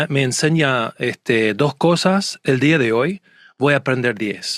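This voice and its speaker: At a fairly slow pace, a man with a strong Argentine accent talks in a fairly high pitch with ordinary pitch variation, the sound dry and close with no echo. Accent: Argentine Spanish accent, still fairly strong. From United States. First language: English (speaking Spanish). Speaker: court and conference interpreter. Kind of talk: casual interview chat. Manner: hesitant, many fillers and restarts.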